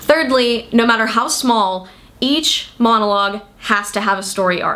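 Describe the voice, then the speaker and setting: Fairly high pitch and a moderate pace from a woman with an ordinary speaking voice. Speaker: writer. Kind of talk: casual talk to camera. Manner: upbeat.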